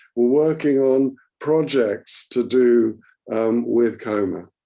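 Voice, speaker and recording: The man's voice carries a dark, mellow tone. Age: 70s. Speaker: poet. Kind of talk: casual chat with poetry reading. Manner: hesitant, many fillers.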